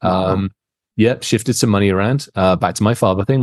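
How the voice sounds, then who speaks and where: A man speaks very fast in a very deep, low voice. The sound is dry and close, with no echo. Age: 50s. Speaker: cybersecurity expert. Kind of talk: casual interview.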